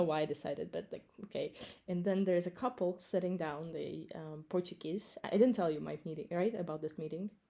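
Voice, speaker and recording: A woman with an American accent speaks in a fairly low, dark and mellow voice with fairly even intonation. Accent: American-sounding English. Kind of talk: casual chat. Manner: halting, many fillers.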